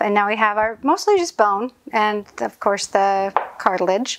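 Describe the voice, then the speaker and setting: Speaking at a moderate pace, a woman with a plain, everyday voice has a fairly high pitch and ordinary pitch variation. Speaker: postpartum caregiver. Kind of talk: cooking tutorial. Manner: casual.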